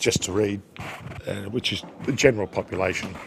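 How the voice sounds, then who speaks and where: A man's voice over noticeable background noise. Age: 60s. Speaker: pool commentator. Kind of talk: live commentary.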